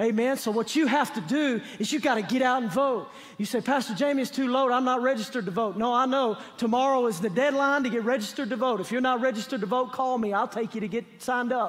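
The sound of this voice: Speaking at a fairly quick pace with few pauses, a man has an extremely high pitch and a fairly bright tone. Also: ordinary pitch variation.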